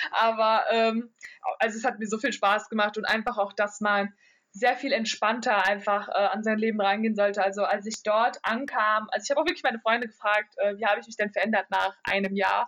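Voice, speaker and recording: A woman with a plain, everyday voice and a fairly high pitch talks at a fairly quick pace with fairly even intonation. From Germany. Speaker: psychology student, exchange student. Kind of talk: interview.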